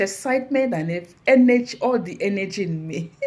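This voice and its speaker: A somewhat breathy woman's voice at medium pitch, moderate in pace, with lively intonation. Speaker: motivational speaker. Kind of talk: inspirational talk. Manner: animated.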